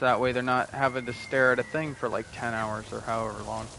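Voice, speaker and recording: A man's voice over noticeable background noise. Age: 20s. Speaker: gaming streamer. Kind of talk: casual chat.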